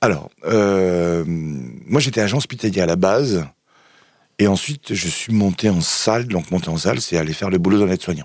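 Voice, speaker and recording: A man's very deep, low pitch with lively intonation. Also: moderate pace. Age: 40s. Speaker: garbage collector. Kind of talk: casual interview. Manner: halting.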